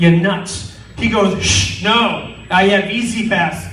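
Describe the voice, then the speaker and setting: A man's high voice with ordinary pitch variation, audible room echo and noticeable background noise. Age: 40s. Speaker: stand-up comedian. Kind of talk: stand-up. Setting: stage with audience. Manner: animated.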